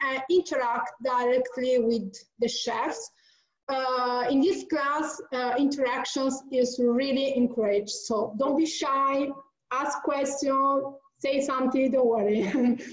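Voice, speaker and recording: With an Italian accent, a woman speaks at a very slow pace in a high pitch, with ordinary pitch variation. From Italy. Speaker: event organizer. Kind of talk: online class introduction. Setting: video call. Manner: halting.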